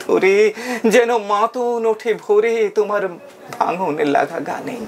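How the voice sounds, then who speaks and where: A man speaks with a high pitch. Noticeable background noise sits behind him. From West Bengal, India. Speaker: reciter and audio drama performer. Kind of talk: poetry reading.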